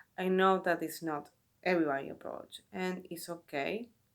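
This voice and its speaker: Her pace is fairly slow. This woman speaks at a fairly low pitch. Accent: Spanish. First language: Spanish. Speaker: tarot reader and video creator. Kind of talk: casual talk to camera. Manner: halting, with self-corrections.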